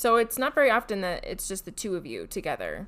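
She has a plain, everyday voice. Her intonation is lively, and her pitch sits fairly high. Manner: teasing, laughs often.

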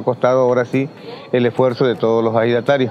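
Against noticeable background noise, a man at medium pitch speaks at a very fast pace. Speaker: ejido leader. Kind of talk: interview. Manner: halting.

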